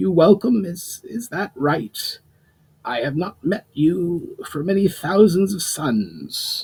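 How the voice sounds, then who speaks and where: A man's high-pitched, croaky put-on character voice, very slow, with lively intonation. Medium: read story. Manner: slightly awkward with the language.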